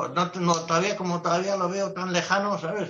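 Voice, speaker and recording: At a moderate pace, a man talks in a high pitch. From Spain, Basque Country (Biscay). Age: 60s. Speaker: travel photographer. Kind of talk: casual interview. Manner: animated.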